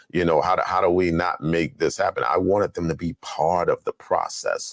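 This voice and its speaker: A man speaks at a moderate pace. The sound is dry and close with no echo, on a very clean recording with a silent background. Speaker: talk show host. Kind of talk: interview.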